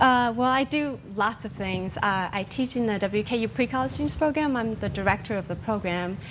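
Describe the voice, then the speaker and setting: A woman with a plain, everyday voice speaks at a fairly quick pace with lively intonation. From Taiwan, moved to US at twelve. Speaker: violinist and music teacher. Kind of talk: interview.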